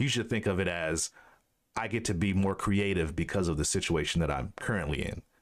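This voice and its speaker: The man's voice is very deep and low. He talks at a fairly quick pace with ordinary pitch variation. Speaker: podcast host. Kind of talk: casual interview chat. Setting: video call. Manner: fast talker, musical cadence.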